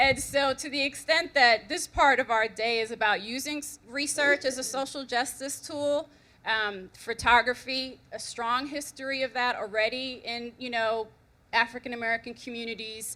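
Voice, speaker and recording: This loud voice has a bright, sharp tone and fairly even intonation. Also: woman, high pitch for a woman, moderate pace. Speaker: researcher presenting at a conference. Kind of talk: conference presentation. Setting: conference room with audience.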